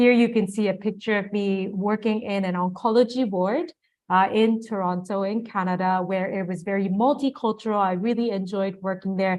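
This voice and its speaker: A woman with a Japanese accent speaks at a medium pitch and a moderate pace. Her intonation is fairly even, and the background is quiet. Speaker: nurse and international health expert giving a lecture. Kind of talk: lecture. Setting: online and offline webinar lecture.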